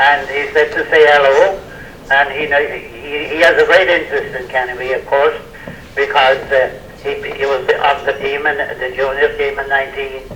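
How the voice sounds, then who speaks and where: Over noticeable background noise, a man speaks at a moderate pace, fairly high in pitch and monotone with flat intonation. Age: 80s+. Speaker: former sports team member. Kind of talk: casual chat.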